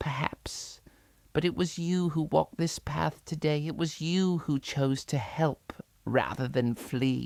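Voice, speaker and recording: In a put-on character voice, a man speaks at a fairly slow pace with a fairly high, resonant pitch. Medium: read story. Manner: slow, solemn, gentle.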